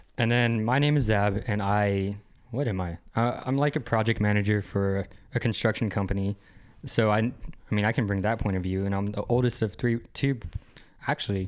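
An ordinary speaking voice from a man, fairly low in pitch, with fairly even intonation at a moderate pace, in a very clean recording with a silent background. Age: 20s. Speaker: podcast co-host. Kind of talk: casual chat.

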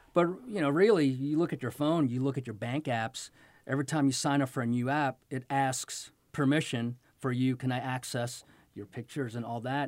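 A man with an unremarkable speaking voice talks at a moderate pace, his medium pitch held in a fairly even intonation. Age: 50s. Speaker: tech company co-founder. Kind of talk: interview.

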